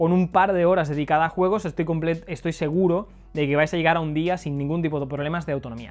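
A man talks at a very fast pace with a high pitch. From Spain. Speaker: tech video reviewer. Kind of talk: product review. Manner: casual, conversational. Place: home room. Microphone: lapel.

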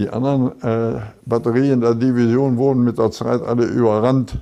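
A man's medium-pitched voice, dark and mellow, at a fairly slow pace. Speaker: war veteran, former artillery battery commander; lawyer. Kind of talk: interview answer.

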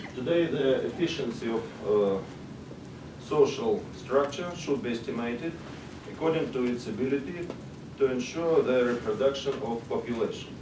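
A man with a Russian accent, amid noticeable background noise. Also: ordinary pitch variation, moderate pace. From Russia, Moscow. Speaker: sociologist, conference speaker. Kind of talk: conference presentation. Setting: stage with audience. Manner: halting. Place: meeting room. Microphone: camera far.

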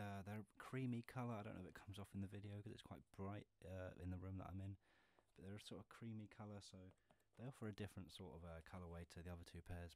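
At a very fast pace, a man speaks with fairly even intonation and a fairly low pitch. The sound is dry with no echo. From England. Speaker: ASMR and gaming YouTuber. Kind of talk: casual talk to camera, shoe collection show-and-tell. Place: home room.

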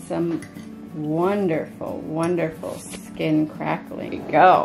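A woman's voice with ordinary pitch variation over clear music in the background. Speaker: vlogger. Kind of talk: casual vlog chat.

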